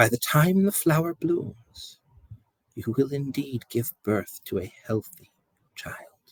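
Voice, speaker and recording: Using a put-on character voice, a man speaks at a fairly high pitch. His pace is fairly slow. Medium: read story.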